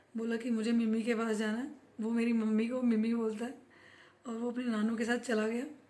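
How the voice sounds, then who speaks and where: The voice has a dark, mellow tone and moves at a moderate pace, with audible room echo. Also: woman. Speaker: vlogger. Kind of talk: casual vlog talk.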